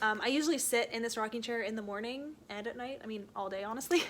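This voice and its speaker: A woman speaks in an unremarkable speaking voice. Her pitch is fairly high, with ordinary pitch variation. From Canada. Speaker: book vlogger. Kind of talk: casual talk to camera. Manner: casual, chatty.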